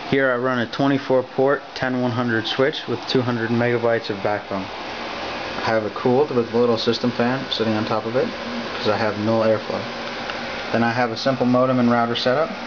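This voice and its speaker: Moderate-paced male speech amid noticeable background noise. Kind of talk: show-and-tell tour. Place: home room. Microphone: phone near.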